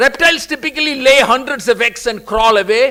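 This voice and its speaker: At a moderate pace, a man speaks in a raised, projected voice. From India, Kerala. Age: 60s. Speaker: convocation speaker. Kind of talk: commencement speech.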